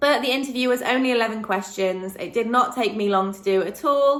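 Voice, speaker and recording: At a moderate pace, a woman speaks with a bright, sharp tone. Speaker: vlogger and online English tutor. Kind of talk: casual vlog talk. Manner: hesitant, many ums.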